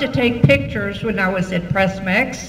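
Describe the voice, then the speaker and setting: The speech comes at a fairly slow pace. Audible room echo and noticeable background noise run through the clip. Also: woman. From Texas. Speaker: school alumna. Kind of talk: banquet speech. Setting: banquet hall with audience.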